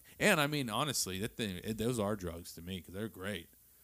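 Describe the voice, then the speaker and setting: A man with a fairly low pitch and an unremarkable speaking voice talks at a fairly quick pace with lively intonation. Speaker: father and podcast host. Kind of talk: casual chat.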